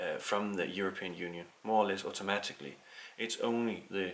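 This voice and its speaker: A man with a Danish accent, fairly low in pitch, in a bright, sharp tone at a moderate pace. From Denmark. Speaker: political commentator. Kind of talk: opinion monologue. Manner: hesitant, many fillers.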